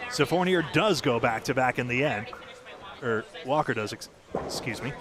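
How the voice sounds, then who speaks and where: Against noticeable background noise, a man of medium pitch talks at a moderate pace with ordinary pitch variation. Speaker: bowling broadcast commentator. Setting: broadcast booth with headset.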